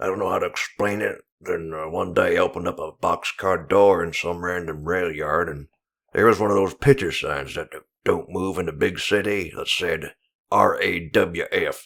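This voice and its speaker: In a put-on character voice, a man mumbles at a moderate pace and a fairly low pitch. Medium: machinima. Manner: rambling, mumbling, hard to understand.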